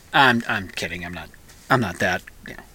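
A man is heard with noticeable background noise. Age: 50s. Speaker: radio host. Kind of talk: casual chat. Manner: halting.

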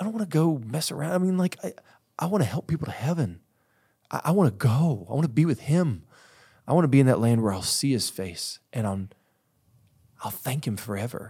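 A man's somewhat breathy, dark, mellow voice at a fairly high pitch, very wide pitch swings, a fairly quick pace with long, frequent pauses, on a very clean recording with a silent background. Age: 40s. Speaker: pastor and author. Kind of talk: interview conversation.

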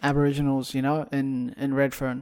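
A man talks at a fairly high pitch. His intonation is monotone and flat. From Ethiopia. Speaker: podcast co-host, driver. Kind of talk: casual chat.

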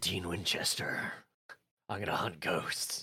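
A put-on male character voice, husky, gravelly and raspy, very deep and low, at a fairly slow pace

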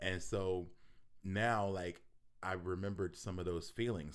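Someone with an American accent speaks at a fairly slow pace, with audible room echo around the voice. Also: man. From Philadelphia, US. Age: 40s. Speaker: rapper. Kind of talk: casual chat.

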